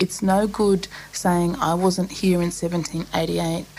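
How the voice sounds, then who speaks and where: Noticeable background noise runs behind a woman with an Australian accent. Her pitch is medium and her intonation fairly even. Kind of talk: interview. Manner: halting.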